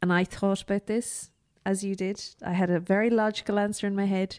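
A woman speaks in an Irish accent in a very clean recording with a silent background. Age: 30s. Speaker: podcast host. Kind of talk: casual chat.

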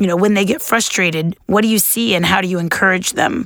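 A woman speaks at medium pitch with ordinary pitch variation. It is a plain, everyday voice. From Los Angeles, California. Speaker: secondary school English teacher. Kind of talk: panel discussion.

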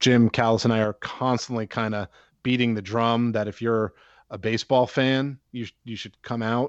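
Someone speaks at a moderate pace with an American accent. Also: man. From Pittsburgh, US. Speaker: baseball prospects analyst. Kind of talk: interview.

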